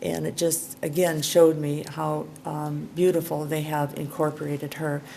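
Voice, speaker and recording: A woman speaks at a moderate pace in a very deep, low pitch. Her intonation is monotone and flat, with audible room echo around her. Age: 70s. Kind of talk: conference talk. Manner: halting.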